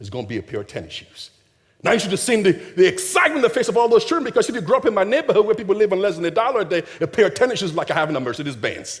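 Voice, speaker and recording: Speaking at a very fast pace, a man with a high pitch sounds animated, his pitch swinging very widely. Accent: slight Nigerian. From Nigeria. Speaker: charity founder, motivational speaker. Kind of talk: keynote speech.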